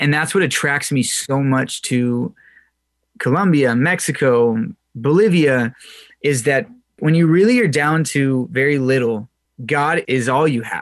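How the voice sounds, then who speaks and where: The delivery is fairly slow, broken by long, frequent pauses. The background stays quiet. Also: man, fairly high pitch for a man, ordinary pitch variation. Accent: Californian. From Southern California. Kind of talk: radio interview.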